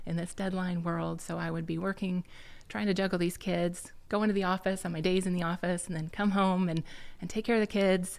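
In a Midwestern US accent, a woman speaks at a medium pitch with monotone, flat intonation. The recording is very clean, with a silent background. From Iowa, Quad Cities. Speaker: engineering firm executive. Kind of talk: interview.

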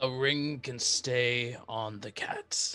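A man's put-on character voice at medium pitch, monotone and flat in intonation. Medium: actual play. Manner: firm, clipped, commanding.

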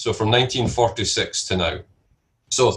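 With a Scottish accent, a man talks in a medium-pitched voice. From Scotland. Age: 50s. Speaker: entrepreneur and investor. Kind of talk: interview.

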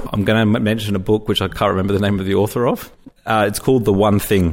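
On a very clean recording with a silent background, a man speaks at a fairly low pitch in a monotone, flat intonation. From born in UK, raised in Hong Kong. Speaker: LinkedIn marketing consultant. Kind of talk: interview.

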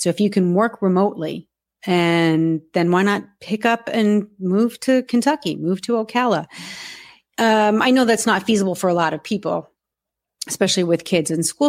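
An ordinary speaking voice from a woman with an American accent, medium pitch and ordinary pitch variation, comes at a moderate pace on a very clean recording with a silent background. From US Northeast, near New York. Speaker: horse podcast host, panelist. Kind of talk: casual roundtable discussion.

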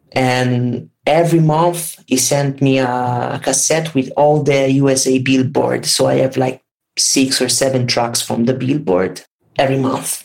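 A man with an Italian accent speaks at a fairly slow pace in a medium pitch, his intonation fairly even and his loudness very even. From Italy, Tuscany. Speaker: vaporwave music producer. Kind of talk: casual interview chat. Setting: remote call, at home late at night.

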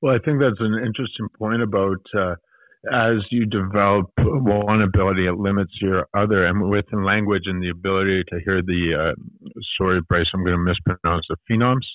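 A man talks at a fairly quick pace with fairly low pitch. He has ordinary pitch variation and a normal speaking voice. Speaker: podcast co-host. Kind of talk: casual podcast discussion.

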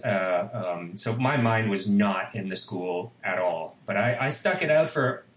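Noticeable background noise accompanies a voice whose pitch varies in an ordinary way. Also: man. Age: 50s. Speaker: composer and musician. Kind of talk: interview conversation.

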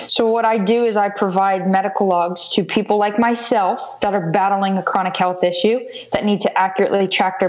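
A woman talks at a fairly quick pace, with noticeable background noise in the recording. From US South, South Florida. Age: 20s. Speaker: entrepreneur, former softball player. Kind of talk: interview.

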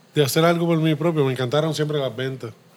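Fairly high in pitch, this man has an ordinary speaking voice whose pitch varies in a normal way. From Puerto Rico, Río Piedras. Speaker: brewery co-founder. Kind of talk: interview conversation. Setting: beer shop.

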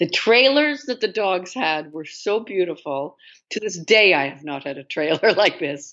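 A woman with a Canadian accent, medium in pitch, with very wide pitch swings and big swings in loudness. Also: moderate pace. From Canada (Toronto). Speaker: actress. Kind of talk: interview.

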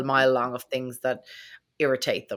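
With an Irish accent, a woman speaks in a very deep, low pitch and a bright, sharp tone at a fairly quick pace, in a very clean recording with a silent background. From Ireland. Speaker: podcast host. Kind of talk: casual interview chat.

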